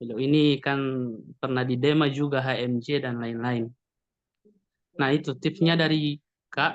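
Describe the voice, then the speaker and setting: Speaking at a fairly slow pace in a Gorontalo accent, the speaker leaves long, frequent pauses. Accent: Gorontalo accent in Indonesian. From Gorontalo, Indonesia. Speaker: webinar participant asking questions. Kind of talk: audience question in webinar. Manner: halting, many fillers.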